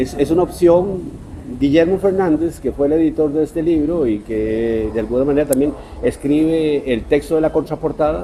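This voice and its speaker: Noticeable background noise surrounds a man speaking at a fairly high pitch with ordinary pitch variation. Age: 60s. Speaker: writer. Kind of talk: interview.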